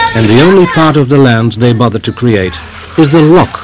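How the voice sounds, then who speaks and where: With crowd noise in the background, a man talks at a moderate pace. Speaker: documentary narrator. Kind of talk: documentary narration.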